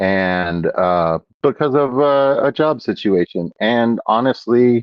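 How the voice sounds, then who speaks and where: An American accent at a very slow pace, with very wide pitch swings and very even loudness. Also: man, medium pitch for a man. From Texas (Houston). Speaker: aquarium hobbyist live streamer. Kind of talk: casual live stream chat. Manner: casual, filler-heavy.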